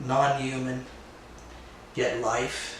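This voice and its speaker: Recorded with noticeable background noise and audible room echo, a man speaks with a fairly high pitch. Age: 60s. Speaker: woodworker and retreat host. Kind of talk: casual workshop vlog narration. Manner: halting, many filler words.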